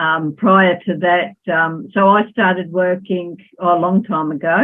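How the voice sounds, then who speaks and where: At a fairly slow pace, a woman speaks with fairly low pitch and fairly even intonation. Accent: Australian. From Australia, Melbourne. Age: 60s. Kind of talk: podcast interview. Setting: remote call from home.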